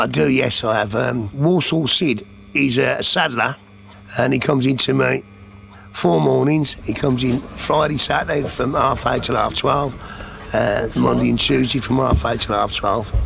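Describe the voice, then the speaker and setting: A man speaks with very even loudness. Noticeable background noise is present. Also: moderate pace. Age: 60s. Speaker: upholsterer. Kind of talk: interview testimony. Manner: casual, conversational.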